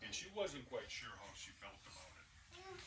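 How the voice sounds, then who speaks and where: A man speaks at a moderate pace. The recording carries audible room echo and noticeable background noise. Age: old. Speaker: grandfather reading to preschoolers. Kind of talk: reading aloud.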